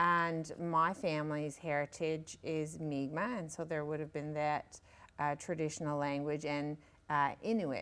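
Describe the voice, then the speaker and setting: With a Newfoundland accent, a woman speaks fairly slowly in a very deep, low voice with fairly even intonation, captured in a very clean recording with a silent background. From Newfoundland, Northern Peninsula (Savage Cove, Straits area). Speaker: author. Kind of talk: interview. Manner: halting, many fillers.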